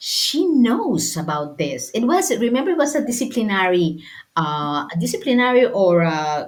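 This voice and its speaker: A woman with a Spanish accent talks at a moderate pace with a fairly high pitch, very wide pitch swings and vocal fry, and audible room echo surrounds her. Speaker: sports lawyer and football administrator. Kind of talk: interview. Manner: halting.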